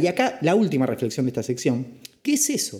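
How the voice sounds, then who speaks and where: A man's high-pitched voice with very wide pitch swings and a dark, mellow tone. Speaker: finance podcast host. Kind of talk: casual explainer podcast.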